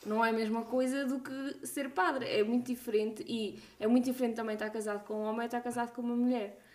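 Over noticeable background noise, a high-pitched woman talks at a very fast pace with hardly any pauses and fairly even intonation. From Portugal, Coimbra region. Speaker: podcast host, doctor. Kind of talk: casual chat.

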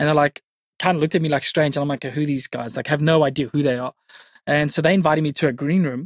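Someone speaks very fast with a South African accent, in a dry, close sound with no echo. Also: man, fairly high pitch for a man. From South Africa, Cape Town northern suburbs. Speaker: youth pastor. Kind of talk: interview. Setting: studio. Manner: energetic.

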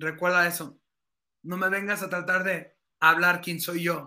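A man's raised, projected voice, high in pitch, bright and sharp in tone, with fairly even intonation. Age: 30s. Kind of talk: casual interview about faith.

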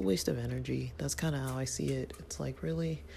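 The voice is creaky, with vocal fry. Its pitch variation is ordinary.

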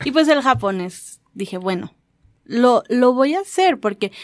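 In an ordinary speaking voice, a woman with a fairly high pitch talks at a fairly slow pace with lively intonation, the sound dry and close with no echo. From Mexico. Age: 20s. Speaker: radio show's sound operator. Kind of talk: casual chat.

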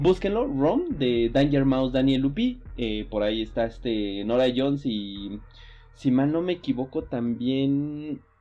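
A man's medium-pitched voice at a fairly slow pace with ordinary pitch variation, music in the background. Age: 30s. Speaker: podcast host. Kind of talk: casual chat.

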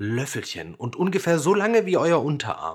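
A male voice is heard. Its pitch rises and falls over a very wide range. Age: 20s. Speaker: children's music podcast host. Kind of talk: scripted narration for children.

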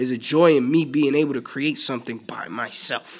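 A man talks at a fairly slow pace in a normal speaking voice with fairly high pitch. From New York City (Bronx). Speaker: podcast host. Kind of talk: solo casual monologue. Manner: relaxed, conversational.

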